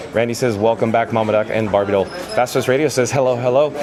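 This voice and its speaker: With music in the background and audible room echo, an animated man talks at a very fast pace and medium pitch. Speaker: travel vlogger, live streamer. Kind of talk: live walking tour stream with chat reading.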